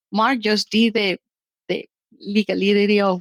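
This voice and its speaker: A woman talks with a non-native accent. Her pitch sits in the medium range. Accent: foreign. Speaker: short-term rental business owner. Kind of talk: interview conversation.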